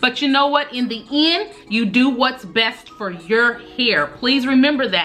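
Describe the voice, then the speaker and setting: A woman speaks at a moderate pace in a high voice, with noticeable background noise. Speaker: beauty and hair vlogger. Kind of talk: casual advice vlog. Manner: animated.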